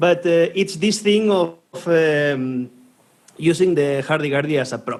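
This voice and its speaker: A man with a Spanish accent, fairly slow in pace, with ordinary pitch variation. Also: fairly high pitch for a man. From Spain. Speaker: podcast co-host. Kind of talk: casual chat. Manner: halting.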